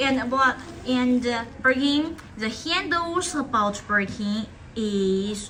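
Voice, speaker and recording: A woman's high voice in a non-native accent, lively in intonation, over noticeable background noise. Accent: non-native English, by own account. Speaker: live-stream leather bag seller. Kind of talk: live sales stream. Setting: live stream studio. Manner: halting, frequent self-corrections.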